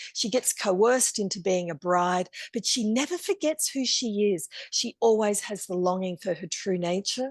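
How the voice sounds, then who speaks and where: A woman with an ordinary speaking voice talks at a moderate pace and medium pitch, her intonation lively, in a dry, close sound with no echo. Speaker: storyteller and workshop teacher. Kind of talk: online masterclass lecture.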